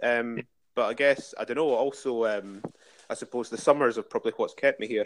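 A man with an Edinburgh accent speaks at a fairly quick pace. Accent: Edinburgh Scottish. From Scotland, Dalkeith near Edinburgh. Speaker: museum and heritage worker. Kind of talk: casual interview. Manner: hesitant, many fillers.

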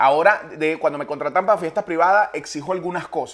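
Ordinary pitch variation runs through this man's high voice. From Venezuela. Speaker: comedian. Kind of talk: casual chat.

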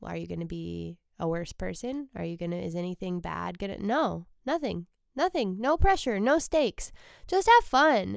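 A woman speaks in a relaxed, soothing tone at a moderate pace, with big swings in loudness. The recording is very clean, with a silent background. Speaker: comedian and podcast host. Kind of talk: solo casual monologue. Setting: alone in a basement room. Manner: relaxed, usually soothing.

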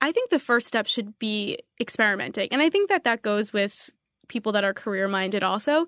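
A woman talks in an unremarkable speaking voice at a fairly high pitch and fairly quick pace, with ordinary pitch variation. The background is quiet and the sound is dry and close with no echo. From New York City area. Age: 20s. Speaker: marketing executive. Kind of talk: interview. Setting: studio.

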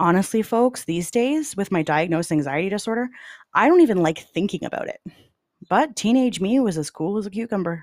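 On a very clean recording with a silent background, a woman with a Canadian accent uses an unremarkable speaking voice at a medium pitch, talking at a fairly quick pace with lively intonation. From Canada (London, Ontario). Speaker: true crime podcast host. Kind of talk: scripted narration.

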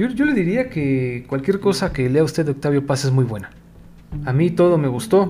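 A man with a dark, mellow, somewhat breathy tone speaks at a moderate pace, his fairly high pitch moving in lively intonation. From Mexico. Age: 40s. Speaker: podcast host, journalist and editor. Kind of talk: casual solo monologue.

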